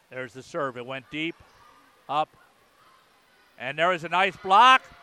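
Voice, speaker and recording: Raised and projected, a man's energetic voice swings very widely in pitch, recorded with a dry, close sound and no echo. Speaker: radio play-by-play announcer. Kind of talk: live play-by-play radio commentary of a volleyball match. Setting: radio broadcast from the gym. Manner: energetic, fluent broadcaster delivery.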